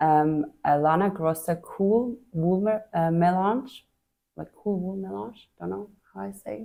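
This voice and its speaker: Fairly slow speech from a woman with a Swiss accent, a dark, mellow tone at fairly low pitch, lively intonation, and big swings in loudness. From Switzerland. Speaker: knitting podcast host. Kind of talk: casual chat.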